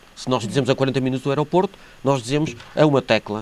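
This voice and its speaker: Pitched fairly high, a man talks at a very fast pace. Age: 60s. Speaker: local election candidate, archaeologist and professor. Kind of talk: TV interview. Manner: halting, many fillers and repetitions.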